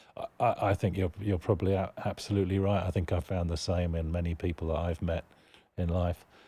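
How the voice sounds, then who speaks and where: A somewhat breathy voice with a British accent and a dark, mellow tone speaks in a flat monotone at a fairly quick pace. The recording is very clean, with a silent background. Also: man, very deep, low pitch for a man. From United Kingdom. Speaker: charity executive director. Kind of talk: podcast interview.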